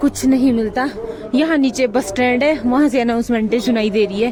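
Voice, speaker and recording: Over crowd noise in the background, a woman speaks at a moderate pace in a high pitch. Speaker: vlogger. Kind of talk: casual vlog narration.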